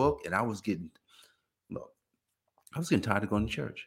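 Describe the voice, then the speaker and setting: A man with an American accent sounds animated, with very wide pitch swings. Vocal fry runs through his voice. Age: 50s. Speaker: podcast host, accountant. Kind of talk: motivational monologue. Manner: repetitive restarts.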